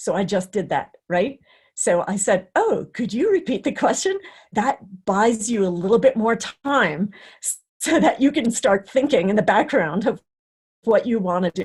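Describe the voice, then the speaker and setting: With lively intonation, a woman speaks in a fairly high, somewhat breathy voice. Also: moderate pace. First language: not English (English is third language). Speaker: career development director, presenter. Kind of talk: webinar talk and Q&A. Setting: online webinar.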